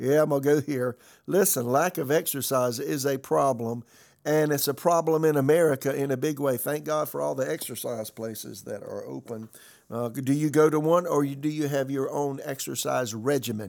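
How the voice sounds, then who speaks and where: Recorded very cleanly against a silent background, a man with a fairly high pitch and an unremarkable speaking voice talks at a moderate pace with fairly even intonation. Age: 60s. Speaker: pastor. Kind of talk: sermon-style podcast message.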